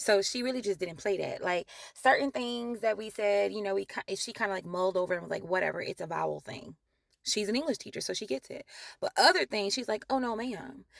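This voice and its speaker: Animated and very fast, a woman with a slight New Orleans accent comes across in a dry, close sound with no echo. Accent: Southern, New Orleans, lighter than most. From Louisiana, New Orleans and Laplace. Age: adult. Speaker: vlogger. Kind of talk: casual vlog talk.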